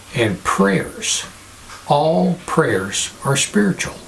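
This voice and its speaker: Noticeable background noise sits behind a man with a fairly high pitch. He speaks at a very slow pace with lively intonation. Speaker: pastor, religious video host. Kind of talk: sermon-style talk to camera.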